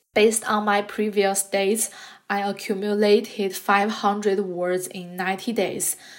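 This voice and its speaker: Speaking very slowly with a Chinese accent, a woman uses a medium-pitched voice. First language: Mandarin Chinese. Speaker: podcast host, graduate student. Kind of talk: scripted monologue.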